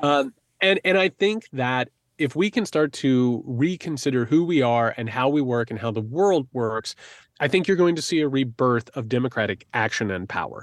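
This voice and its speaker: An ordinary speaking voice with an American accent, lively intonation and a moderate pace, dry and close with no echo, against a quiet background. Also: man. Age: 40s. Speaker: author and podcast co-host. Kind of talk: casual interview.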